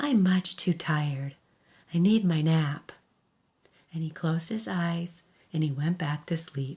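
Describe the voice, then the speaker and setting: Soft-spoken and somewhat breathy, a woman uses a soothing tone at a fairly slow pace, with ordinary pitch variation and long, frequent pauses. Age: old. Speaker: storyteller. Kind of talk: bedtime story. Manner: soft-spoken, soothing.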